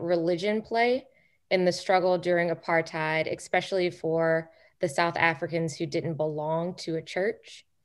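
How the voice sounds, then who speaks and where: A woman at a fairly slow pace over a quiet background. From Chicago. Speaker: political training director, co-host; co-host. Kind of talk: moderated discussion. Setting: video call. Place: home room. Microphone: video call.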